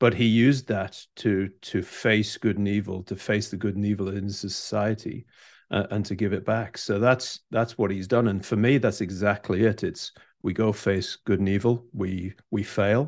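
A man with an English accent, fairly low in pitch, with fairly even intonation and a moderate pace against a quiet background. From England. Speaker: leadership coach. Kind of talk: interview conversation.

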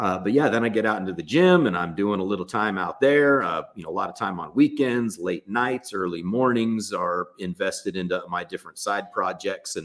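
A plain, everyday voice from a man with an American accent, fairly low in pitch, with lively intonation and a moderate pace. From US West Coast, Los Angeles. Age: 40s. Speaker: gym owner and entrepreneur. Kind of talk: casual interview. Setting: video call.

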